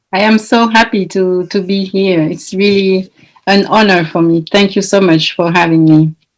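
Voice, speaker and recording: In a strong French accent, a woman of medium pitch speaks at a moderate pace with very even loudness and fairly even intonation. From France. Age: 40s. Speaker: Olympic athlete and coach. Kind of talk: interview. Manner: halting.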